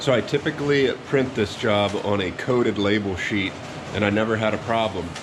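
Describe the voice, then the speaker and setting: With fairly even intonation, a man talks at a moderate pace amid audible room echo and noticeable background noise. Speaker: print shop owner. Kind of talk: tutorial.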